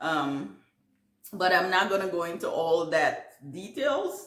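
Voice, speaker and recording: Audible room echo surrounds a woman speaking at a medium pitch with a Caribbean accent. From Guyana. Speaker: gardening YouTuber. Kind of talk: casual Q&A vlog. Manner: halting, many fillers.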